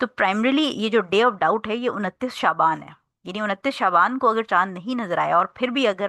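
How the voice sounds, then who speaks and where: A woman speaks with a bright, sharp tone and ordinary pitch variation, her dry, close sound carrying no echo against a quiet background. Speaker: Islamic teacher. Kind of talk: lecture. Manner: soft-spoken.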